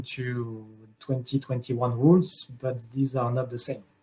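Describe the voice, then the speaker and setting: A man speaks in a somewhat breathy voice with a French accent. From France. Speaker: conference speaker. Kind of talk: panel Q&A. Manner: halting.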